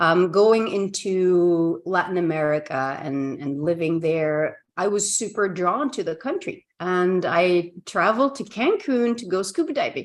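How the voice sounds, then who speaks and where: A woman with a Flemish Belgian accent talks at a fairly slow pace, her intonation lively and her speech running on with hardly any pauses. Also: medium pitch for a woman. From Belgium, Ghent (Flanders). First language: Dutch (Flemish). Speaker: communication coach. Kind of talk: casual interview chat. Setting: video call.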